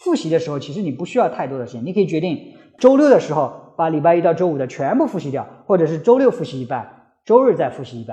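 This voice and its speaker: A man's high voice has a dark, mellow tone and very wide pitch swings. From China. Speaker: podcast host. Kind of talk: solo talk giving English-learning advice. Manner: hesitant, many filler sounds.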